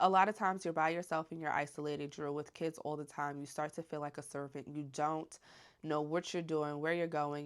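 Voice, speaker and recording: Soft-spoken, a woman talks with a very deep, low pitch. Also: very clean recording, silent background. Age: 20s. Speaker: stay-at-home mom and vlogger. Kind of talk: casual Q&A chat.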